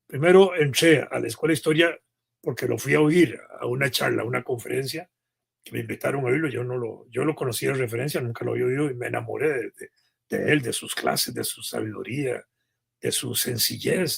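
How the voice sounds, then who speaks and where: With vocal fry and big swings in loudness, a man speaks at a fairly quick pace with ordinary pitch variation. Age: 70s. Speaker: historian, retired university professor. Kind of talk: interview. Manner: halting, with fillers.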